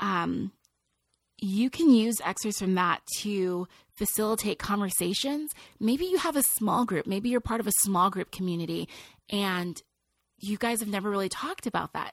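With an American accent and a plain, everyday voice, a woman speaks at a medium pitch and moderate pace, with ordinary pitch variation, in a dry, close sound with no echo. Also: very clean recording, silent background. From California, Nigerian family. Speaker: international speaker and author. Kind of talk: interview.

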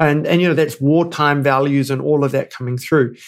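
A man in a New Zealand accent speaks at a fairly high pitch with ordinary pitch variation. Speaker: board governance advisor and entrepreneur. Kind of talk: interview conversation.

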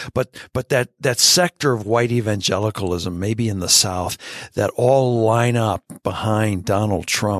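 A man speaks at a moderate pace and a fairly low pitch in an ordinary speaking voice, with ordinary pitch variation. The recording is very clean, dry and close, with no echo and a silent background. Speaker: author and theologian. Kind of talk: casual interview conversation.

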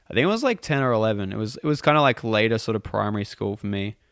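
A man with a plain, everyday voice talks at a fairly quick pace and a fairly low pitch, on a very clean recording with a silent background. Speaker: band member musician. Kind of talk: casual interview chat. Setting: in person in a studio.

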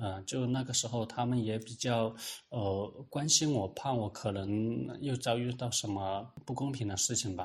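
The voice is somewhat breathy, moving at a moderate pace with fairly even intonation over a quiet background. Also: man, medium pitch for a man. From Hunan, Yueyang. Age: 30s. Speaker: government employee and independent researcher. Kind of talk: interview testimony. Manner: halting, with many filler sounds.

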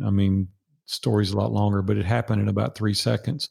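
A man speaks in a somewhat breathy voice with a Nashville accent. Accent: Southern US (Nashville). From Nashville, Tennessee. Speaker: business coach and guest. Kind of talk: casual interview. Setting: video call.

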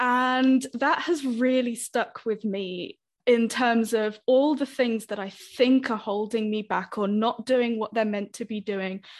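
In a British accent, a woman with a fairly high pitch speaks fairly slowly and evenly, with hardly any pauses. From Britain. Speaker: language teacher. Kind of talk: podcast interview.

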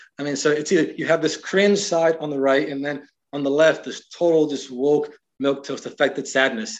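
A man with an American accent and an ordinary speaking voice talks at a moderate pace, his fairly high pitch held in fairly even intonation. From US, Miami. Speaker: writer and cultural critic. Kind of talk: casual interview.

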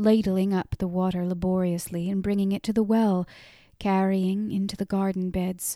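What we hear is plain reading aloud.

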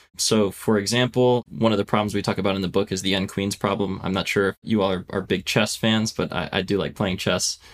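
A man with an American accent speaks at a fairly quick pace with hardly any pauses, his fairly low voice held in a flat monotone. The recording is very clean, with a silent background. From US Northeast (Philadelphia, Pennsylvania). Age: 20s. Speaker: software engineer and author. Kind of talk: technical interview.

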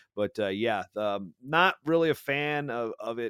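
In a very clean recording with a silent background, a man at a medium pitch has a bright, sharp tone and a dry, close sound with no echo. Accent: American. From Virginia. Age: 30s. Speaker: wrestling broadcaster and podcaster. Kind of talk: casual interview.

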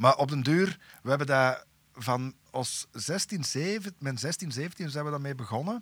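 Very slowly and with lively intonation, a man with a Flemish accent speaks at a fairly high pitch on a very clean recording with a silent background. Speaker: metal musician. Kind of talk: casual chat.

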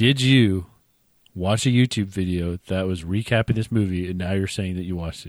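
The speech moves at a fairly quick pace with big swings in loudness and ordinary pitch variation, in a very clean recording with a silent background. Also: man, very deep, low pitch for a man. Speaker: podcast co-host. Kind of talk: casual chat.

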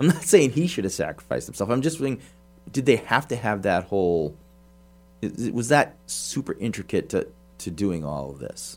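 On a very clean recording with a silent background, a man of medium pitch talks at a moderate pace with very wide pitch swings and vocal fry. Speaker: priest and movie podcast co-host. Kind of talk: casual chat.

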